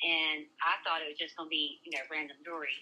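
A woman's very deep, low voice in a Southern US accent, monotone and flat. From US South. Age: 30s. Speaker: social media creator. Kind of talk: storytelling.

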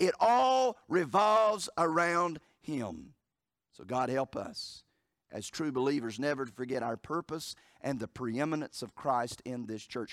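In a Southern US accent, a man talks at a fairly slow pace and fairly high pitch, with very wide pitch swings and big swings in loudness, in a very clean recording with a silent background and a dry, close sound with no echo. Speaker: pastor. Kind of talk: sermon. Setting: church. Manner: animated, fervent preaching with emphatic repetition and rhetorical questions; jokes with the congregation, conversational asides.

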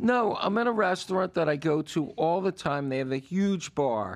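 A man speaks in an ordinary speaking voice. His intonation is lively. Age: 60s. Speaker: podcast co-host. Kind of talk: casual chat.

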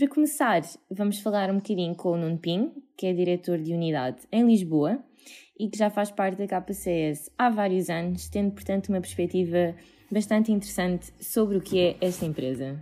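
A woman with a dark, mellow tone and medium pitch speaks at a moderate pace with lively intonation, on a very clean recording with a silent background. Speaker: corporate podcast host. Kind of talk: interview.

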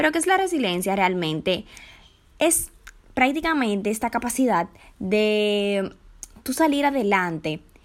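A woman speaks in an ordinary speaking voice at a fairly high pitch. She keeps a fairly slow pace on a very clean recording with a silent background. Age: 20s. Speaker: podcast host, communication student. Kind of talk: casual solo podcast monologue.

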